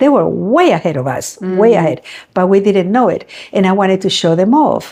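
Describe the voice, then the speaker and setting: A woman with a medium-pitched voice uses lively intonation and vocal fry. Her tone is dark and mellow, and her pace is moderate. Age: 70s. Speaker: face painter, business founder. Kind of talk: interview answer. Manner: chatty storytelling.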